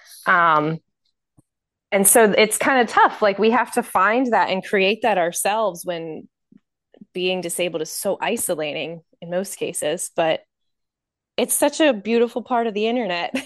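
A woman's medium-pitched voice with lively intonation, at a moderate pace with long, frequent pauses, over a quiet background. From Maryland, US. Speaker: chronic illness patient advocate. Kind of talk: casual chat. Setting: video call.

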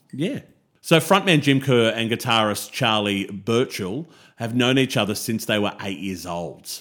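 On a very clean recording with a silent background, a man with an Australian accent speaks with lively intonation. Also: medium pitch for a man. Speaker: music podcast co-host. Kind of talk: casual chat.

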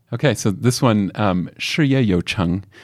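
Over a silent background in a very clean recording, a man speaks at a fairly low pitch with ordinary pitch variation. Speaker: company director. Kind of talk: casual interview chat. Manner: halting, frequent fillers and repeats.

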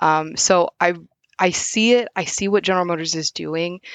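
Speaking with an American accent, a woman has an ordinary speaking voice, a fairly low pitch and fairly even intonation. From US Midwest, southwest Missouri. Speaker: automotive field service engineer. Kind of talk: casual interview.

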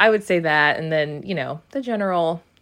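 Over a quiet background, a woman with an American accent speaks at a moderate pace. Her pitch is fairly low, with ordinary variation. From New Jersey (Cranford). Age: 30s. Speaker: shop owner. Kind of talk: interview. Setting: on location. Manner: hesitant with many fillers.

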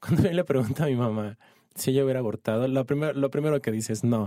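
In a dark, mellow tone, a man speaks at a very fast pace and medium pitch, with ordinary pitch variation. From Ciudad Juárez, Chihuahua, northern Mexico. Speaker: doctor working in abortion services. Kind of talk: casual interview. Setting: studio.

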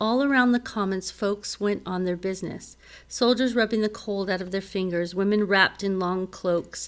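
What you hear is plain reading aloud.

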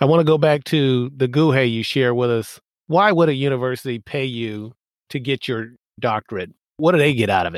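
The recording is very clean, with a silent background and a dry, close sound with no echo. A man with an ordinary speaking voice talks fairly quickly at medium pitch, with ordinary pitch variation. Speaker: podcast host and naval academy alumnus. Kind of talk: casual interview.

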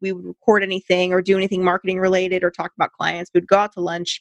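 With an American accent, a woman talks at a medium pitch in a dry, close sound with no echo. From US West Coast, California. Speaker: business marketer, podcast co-host. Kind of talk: casual chat.

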